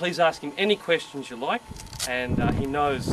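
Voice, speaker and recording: With an Australian accent, a man speaks at a fairly quick pace and a fairly high pitch with lively intonation over noticeable background noise. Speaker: military chaplain. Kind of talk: introduction to a guided tour.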